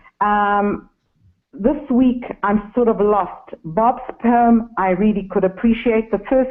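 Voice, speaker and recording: With a southern African accent, a woman speaks at a fairly high pitch. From Zimbabwe. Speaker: caller, online course student. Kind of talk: phone-in comment. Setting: phone call. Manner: hesitant.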